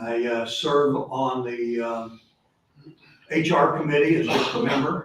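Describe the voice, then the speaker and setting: The man's pitch sits in the medium range, and his intonation is fairly even. There is audible room echo around his voice. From Texas, Houston. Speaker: local politician, candidate. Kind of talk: campaign speech at candidate forum.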